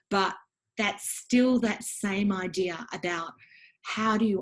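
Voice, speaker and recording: A somewhat breathy voice with an Australian accent, a fairly slow pace and a quiet background. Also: woman. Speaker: education academic and book author. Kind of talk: interview about her book. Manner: hesitant with frequent ums.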